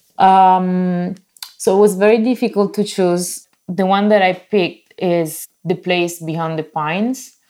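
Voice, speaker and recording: A woman speaks at a fairly slow pace with a medium pitch and fairly even intonation. Her tone is dark and mellow on a very clean recording with a silent background. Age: 30s. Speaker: bookkeeper and translator. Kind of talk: casual film discussion. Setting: at home during lockdown.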